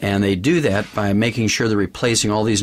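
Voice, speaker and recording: The speech comes at a very fast pace with fairly even intonation. Noticeable background noise runs underneath. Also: man. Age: 60s. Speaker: supplement company executive and doctor. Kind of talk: interview / sales pitch.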